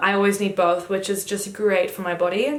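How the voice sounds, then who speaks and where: Over noticeable background noise and audible room echo, a woman with a fairly high pitch talks at a moderate pace in an animated tone. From Germany (Düsseldorf), moved to Australia at ten. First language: German. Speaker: YouTuber. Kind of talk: casual chat.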